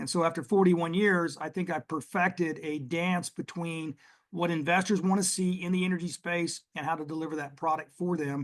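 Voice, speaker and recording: A man speaks at a fairly quick pace with a Texas accent and hardly any pauses. His pitch is high and his intonation fairly even. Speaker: oil and gas investment executive. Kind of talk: podcast interview.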